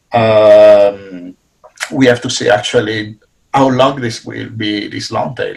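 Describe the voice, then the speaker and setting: The voice is somewhat breathy, with an Italian accent. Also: man. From Italy. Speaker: business professor. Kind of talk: panel discussion.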